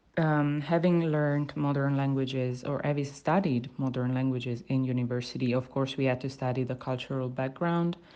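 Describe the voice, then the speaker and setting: A moderate pace and ordinary pitch variation in a woman's very deep, low voice, dark and mellow in tone. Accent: Italian. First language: Italian. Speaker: university student. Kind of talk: spoken language sample, reflective monologue. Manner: hesitant, many fillers and restarts.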